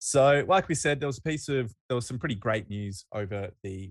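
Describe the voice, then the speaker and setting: A man with an Australian accent at a fairly quick pace, ordinary pitch variation, and a quiet background. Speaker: rugby podcast co-host. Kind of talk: casual chat.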